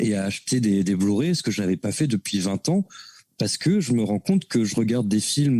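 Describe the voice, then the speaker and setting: At a moderate pace, a man speaks with a dark, mellow tone and medium pitch showing ordinary variation, recorded very cleanly against a silent background with a dry, close sound and no echo. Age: 30s. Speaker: NFT artist. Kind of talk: casual interview chat.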